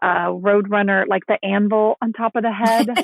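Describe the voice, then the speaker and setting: A woman's ordinary speaking voice, medium in pitch, with ordinary pitch variation. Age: 50s. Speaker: author. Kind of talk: casual chat.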